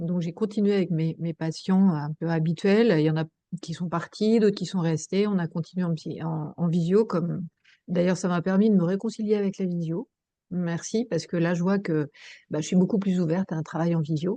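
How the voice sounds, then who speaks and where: Fairly low, dark, mellow woman's voice with fairly even intonation against a quiet background. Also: moderate pace. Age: 60s. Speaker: psychoanalyst and mediator, workshop participant. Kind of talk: personal testimony in group video discussion. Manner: hesitant, many fillers.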